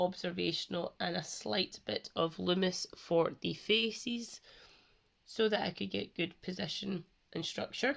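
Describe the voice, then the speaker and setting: This woman's voice sits at a medium pitch and shows vocal fry. She talks at a fairly slow pace. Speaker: art channel creator. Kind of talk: casual art progress commentary.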